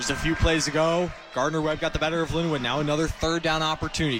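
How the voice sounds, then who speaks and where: Over music in the background, a man with a fairly high pitch speaks very fast, his intonation fairly even. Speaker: color commentator, game analyst. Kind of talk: radio color analysis.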